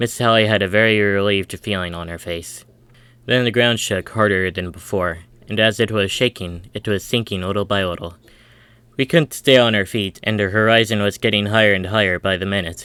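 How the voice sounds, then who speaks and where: A man talks at a fairly quick pace with a fairly low pitch and fairly even intonation. His tone is bright and sharp, and the recording is very clean with a silent background. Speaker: audiobook narrator reading a story. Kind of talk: audiobook narration, first-person young child character.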